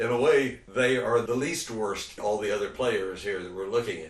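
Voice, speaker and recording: Background noise is noticeable throughout. The man talks fairly quickly. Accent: American. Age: 70s. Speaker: cannabis advocate and commentator. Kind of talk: talking-head commentary. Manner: conversational, with hesitations.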